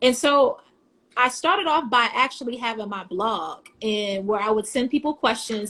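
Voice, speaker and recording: A normal speaking voice from a woman with an American accent, fairly high in pitch with fairly even intonation. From US, Virginia (Hampton Roads). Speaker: vegan podcaster and recipe creator. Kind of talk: casual live interview chat. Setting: Instagram Live video stream.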